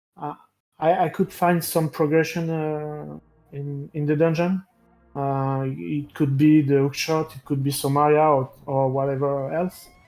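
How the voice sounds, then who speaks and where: A man with a non-native accent and fairly high pitch, at a fairly slow pace with fairly even intonation over music in the background. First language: not English. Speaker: esports racer. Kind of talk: post-match interview. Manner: halting.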